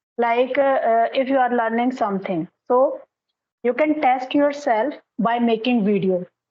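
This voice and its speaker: With an Indian accent, a woman speaks fairly slowly in a high voice, keeping her loudness very even and her pitch variation ordinary. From India, Haryana. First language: Hindi. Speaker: English tutor. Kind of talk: casual conversation practice, giving advice.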